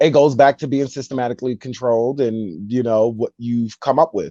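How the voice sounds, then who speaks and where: A man's dark, mellow, medium-pitched voice with a New York accent at a moderate pace, with a dry, close sound with no echo and a quiet background. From New York, Brooklyn. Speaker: rapper. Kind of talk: casual interview chat.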